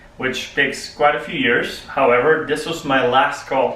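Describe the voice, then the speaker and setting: Speaking at a moderate pace, a man uses a medium pitch. Audible room echo and noticeable background noise surround him. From Poland. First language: Polish. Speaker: public speaking club member. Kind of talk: prepared speech.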